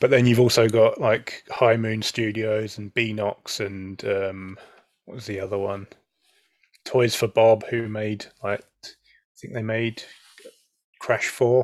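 Very slowly and with long, frequent pauses, a man with a British accent speaks in a flat monotone at a medium pitch, his loudness swinging widely. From UK. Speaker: podcast co-host. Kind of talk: casual chat. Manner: halting.

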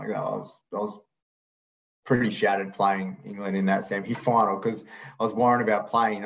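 In an Australian accent, a man talks at a fairly quick pace and fairly low pitch with a monotone, flat intonation. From Perth, Western Australia. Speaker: retired field hockey goalkeeper. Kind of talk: casual interview.

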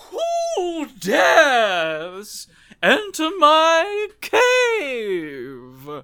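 A man puts on a character voice. He pitches it extremely high. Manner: booming, menacing.

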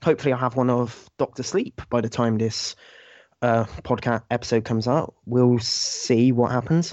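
A man with a British accent talks at a moderate pace and medium pitch, his intonation fairly even. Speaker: podcast guest. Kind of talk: casual chat.

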